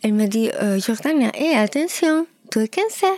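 In a Peruvian accent, a woman talks at a fairly slow pace with lively intonation. The sound is dry and close, with no echo. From Peru (Lima). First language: Spanish (speaking French). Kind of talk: testimony. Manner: halting.

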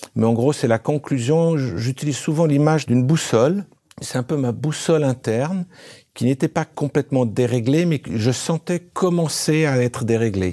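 This man has a medium pitch and a dark, mellow tone, with ordinary pitch variation, very even loudness, and a dry, close sound without echo. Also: moderate pace. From grew up partly in Africa. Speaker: former company executive. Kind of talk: interview. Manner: halting.

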